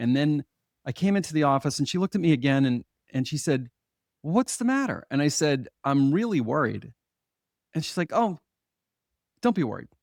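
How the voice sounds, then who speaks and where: A man with a plain, everyday voice talks at a moderate pace with fairly high pitch and lively intonation. The sound is dry and close with no echo, on a very clean recording with a silent background. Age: 60s. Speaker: hypnotherapist. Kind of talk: interview.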